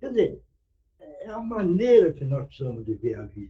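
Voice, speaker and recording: This man's voice has a dark, mellow tone. There is some breathiness to it. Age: 80s+. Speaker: spiritist meeting speaker. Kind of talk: sermon.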